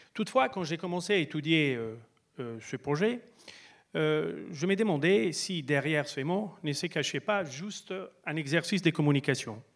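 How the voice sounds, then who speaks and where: A man with a fairly high pitch talks at a fairly slow pace, his intonation lively. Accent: Italian. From Italy. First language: Italian (speaking French). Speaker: speaker. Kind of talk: stage talk. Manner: halting.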